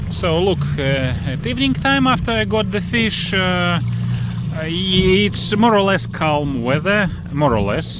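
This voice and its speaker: Recorded with noticeable background noise and audible room echo, a man with a non-native accent speaks fairly slowly at a fairly high pitch. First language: not English. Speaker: fishing and boat prop reviewer. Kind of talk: casual tutorial vlog. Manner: halting, many fillers.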